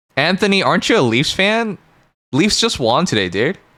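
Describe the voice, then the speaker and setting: A man's bright, sharp tone with vocal fry and very wide pitch swings, on a very clean recording with a silent background. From Canada. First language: not English. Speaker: streamer. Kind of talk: casual live stream chat. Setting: live stream. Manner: animated.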